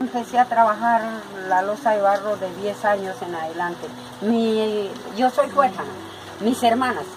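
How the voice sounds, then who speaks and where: At a fairly slow pace, a woman with a fairly high pitch and ordinary pitch variation speaks with long, frequent pauses over noticeable background noise. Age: 60s. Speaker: potter. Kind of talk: documentary interview.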